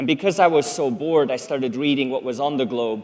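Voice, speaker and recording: At a moderate pace, a man with a Swiss German accent speaks at a medium pitch. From Switzerland. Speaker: public speaker. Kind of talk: talk to an audience.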